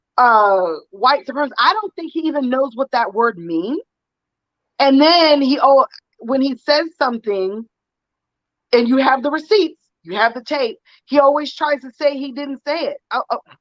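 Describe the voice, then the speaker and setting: A woman speaks at a moderate pace with a high pitch, lively intonation and long, frequent pauses. Her loudness swings widely, and the sound is dry and close with no echo. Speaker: political commentator guest. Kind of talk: casual discussion.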